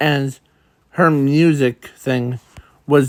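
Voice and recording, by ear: The intonation stays fairly level in this reading aloud in a natural voice.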